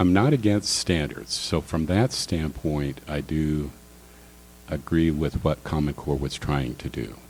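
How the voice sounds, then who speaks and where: Music plays in the background as a man speaks at a fairly slow pace. His very deep, low voice shows ordinary pitch variation. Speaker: political candidate. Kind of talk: candidate forum answers. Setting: public forum with audience.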